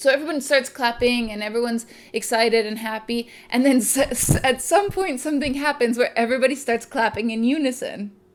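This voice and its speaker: A woman with an American accent speaks at a high pitch with ordinary pitch variation. Her pace is fairly quick, with hardly any pauses. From California, US. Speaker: video blogger. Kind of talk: casual chat. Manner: animated.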